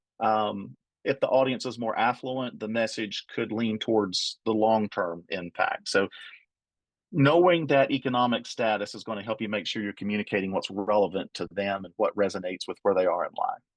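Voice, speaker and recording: A man with an Appalachian accent talks at a moderate pace and medium pitch. The sound is dry and close with no echo. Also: ordinary pitch variation, quiet background. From Appalachia, US. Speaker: trainer. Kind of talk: training webinar.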